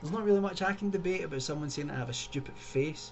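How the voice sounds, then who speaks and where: A man with a Scottish accent at a very fast pace, lively intonation, noticeable background noise and audible room echo. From Scotland, Glasgow. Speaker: YouTuber. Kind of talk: video commentary. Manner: casual, conversational.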